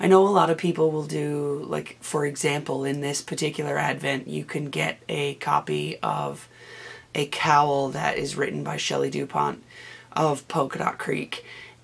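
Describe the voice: Low-pitched and raspy, a woman talks at a moderate pace with ordinary pitch variation and vocal fry.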